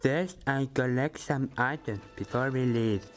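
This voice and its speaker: Clear music plays in the background. Over it, a man at medium pitch does a put-on character voice. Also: fairly slow pace. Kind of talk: comic overacting. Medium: machinima. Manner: blunt, irreverent, crude.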